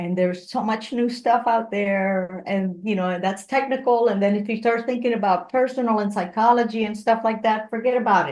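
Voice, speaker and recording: A woman with a Spanish accent talks at a fairly quick pace with fairly high pitch and hardly any pauses. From Puerto Rico. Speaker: engineer, motivational speaker and comedian. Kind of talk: interview conversation. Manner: animated.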